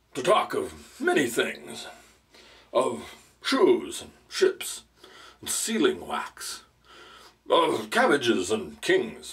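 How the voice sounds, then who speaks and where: Using a put-on character voice, a man speaks at an extremely high pitch. He goes at a very slow pace with long, frequent pauses. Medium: read story. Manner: pompous, sentimental.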